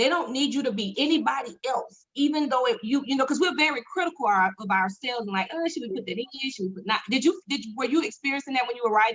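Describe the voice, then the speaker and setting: Talking at a very fast pace with hardly any pauses, a woman uses lively intonation. Her pitch is high. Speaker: talk show host. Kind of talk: casual chat.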